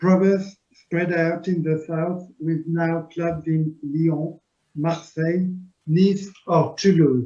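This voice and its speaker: Speaking with a French accent, a man uses a high pitch and a dark, mellow tone at a very slow pace, his intonation monotone and flat. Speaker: club officer. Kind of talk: presentation.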